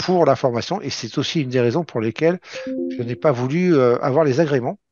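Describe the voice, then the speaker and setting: A man's lively intonation carries speech delivered at a moderate pace. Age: 50s. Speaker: trader and trading trainer. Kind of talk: webinar presentation. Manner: hesitant, many fillers.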